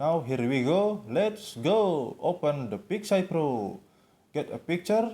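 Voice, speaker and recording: A man's high-pitched voice with a dark, mellow tone, lively intonation and a non-native accent. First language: not English. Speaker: tutorial video maker. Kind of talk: tutorial. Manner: halting.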